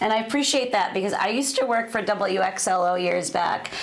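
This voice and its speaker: A woman talks with an American accent. Audible room echo and noticeable background noise are present. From Worcester, Massachusetts. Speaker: comedian. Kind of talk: casual interview chat. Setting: TV studio.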